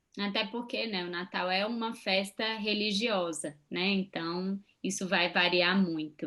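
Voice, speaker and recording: A woman's bright, sharp, medium-pitched voice at a fairly slow pace, with fairly even intonation and hardly any pauses. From Brazil. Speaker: psychologist and channel co-host. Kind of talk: casual chat.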